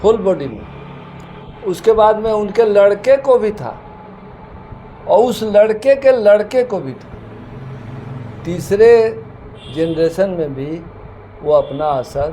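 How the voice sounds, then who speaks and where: With long, frequent pauses and big swings in loudness, a high-pitched man speaks over noticeable background noise. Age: 70s. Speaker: homeopathic doctor. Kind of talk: interview.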